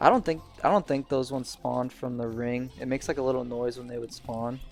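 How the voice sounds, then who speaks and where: A man speaks at a very fast pace with a medium pitch and fairly even intonation, his loudness swinging widely over music in the background. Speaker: gaming youtuber. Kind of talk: gameplay commentary. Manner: halting.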